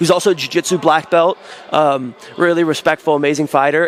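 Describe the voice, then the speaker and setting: In an American accent, a man with a normal speaking voice talks at a fairly quick pace and fairly high pitch with fairly even intonation. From United States. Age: 20s. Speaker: professional grappler. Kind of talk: interview.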